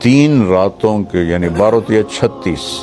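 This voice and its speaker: Music plays in the background as a man speaks in a fairly low voice with ordinary pitch variation. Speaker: Islamic preacher. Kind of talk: religious sermon.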